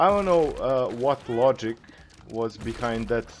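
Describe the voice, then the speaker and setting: With a non-native accent, a man talks at a fairly slow pace, his pitch swinging very widely. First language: not English. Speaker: gaming YouTuber. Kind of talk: gameplay commentary. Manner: casual, frequent filler uhs.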